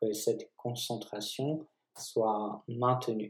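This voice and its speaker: A man with a Polish accent speaks very slowly in a dark, mellow tone with fairly even intonation. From Poland. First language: Polish (speaking French). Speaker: physiotherapist and osteopath. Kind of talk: casual chat.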